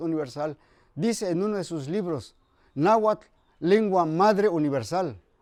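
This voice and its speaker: Here a man with a high pitch and a dark, mellow tone talks at a moderate pace with ordinary pitch variation. The recording is very clean, with a silent background. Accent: Mexican. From Mexico, Huasteca region of Hidalgo. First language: Nahuatl (speaking Spanish). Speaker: retired salesman and Nahuatl teacher. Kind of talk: interview.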